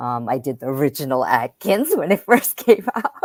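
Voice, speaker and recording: The speaker is a woman. Her voice sits at a very deep, low pitch. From Japan and US. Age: 60s. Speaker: transformation coach. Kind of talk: interview.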